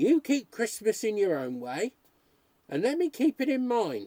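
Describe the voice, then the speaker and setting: A man uses a put-on character voice, gruff and extremely high-pitched, with very wide pitch swings. He talks at a moderate pace in a dry, close sound with no echo. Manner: brusque, gruff.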